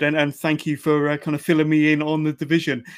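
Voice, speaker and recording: At a fairly quick pace, a man with a British accent speaks at a fairly high pitch. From UK. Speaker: podcast host. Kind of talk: casual interview. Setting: remote call.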